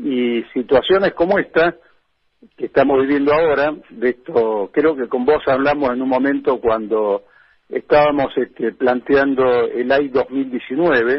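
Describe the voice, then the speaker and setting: A man with a Rioplatense accent talks at a fairly slow pace, his fairly high pitch showing ordinary variation. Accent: Argentine Spanish (rioplatense). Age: 70s. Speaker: politician and former militant. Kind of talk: radio interview.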